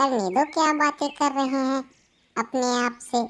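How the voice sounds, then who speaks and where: A woman puts on a cartoonish character voice, high-pitched and at a moderate pace. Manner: trusting, agreeable.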